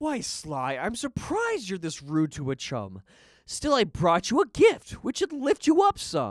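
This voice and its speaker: In a put-on character voice, the speaker talks at a moderate pace and a middle pitch. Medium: audio drama. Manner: charming, sing-song rhyming.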